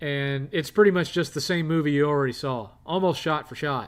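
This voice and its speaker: With an American accent, a man speaks at a moderate pace and fairly high pitch, with ordinary pitch variation on a very clean recording with a silent background. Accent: redneck. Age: 50s. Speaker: live streamer. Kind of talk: casual chat. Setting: live stream.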